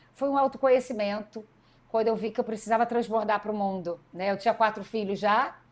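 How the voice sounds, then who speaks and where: A woman talks at a fairly quick pace with a fairly high pitch and fairly even intonation. She has a normal speaking voice. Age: 40s. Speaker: politician and educator. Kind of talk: interview conversation.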